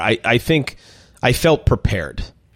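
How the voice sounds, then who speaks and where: A man's American accent with vocal fry. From Minnesota. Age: 40s. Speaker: chef and restaurant owner. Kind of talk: interview conversation.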